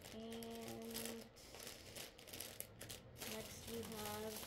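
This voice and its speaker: A woman talks over loud background noise. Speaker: lifestyle vlogger. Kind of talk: casual talk to camera. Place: home room. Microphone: phone near.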